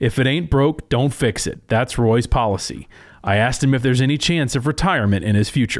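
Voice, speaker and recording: In a plain, everyday voice, someone speaks at a fairly quick pace with ordinary pitch variation and very even loudness. The recording is very clean, with a silent background. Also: man, medium pitch for a man. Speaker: agricultural news reporter. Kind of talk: TV news feature narration.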